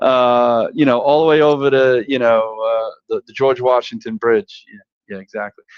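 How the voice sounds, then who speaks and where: At a moderate pace, a man speaks at medium pitch with a Brooklyn accent. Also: ordinary pitch variation. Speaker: sales professional. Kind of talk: casual chat.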